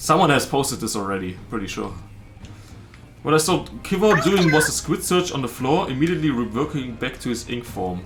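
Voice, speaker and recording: Over music in the background and audible room echo, a man with a strong German accent talks at a fairly high pitch and a fairly quick pace, his pitch swinging very widely. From southern Germany. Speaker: streamer. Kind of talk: casual chat.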